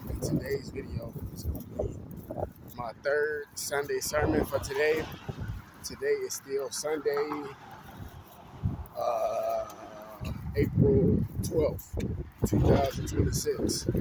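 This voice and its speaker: With noticeable background noise behind him, a man with an American accent talks at a very slow pace, leaving long, frequent pauses. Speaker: vlogger. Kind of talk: casual monologue vlog. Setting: outdoors, walking. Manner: stuttering a little.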